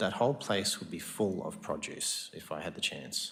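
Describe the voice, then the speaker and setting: There is audible room echo around a man speaking with an Australian accent. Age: 40s. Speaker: farmer. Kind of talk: council meeting Q&A. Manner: halting.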